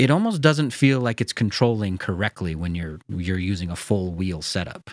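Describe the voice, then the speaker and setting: A man with an American accent and a plain, everyday voice, lively intonation, a moderate pace, and a very clean recording with a silent background. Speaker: sim racing podcast host. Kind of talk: casual chat. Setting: studio.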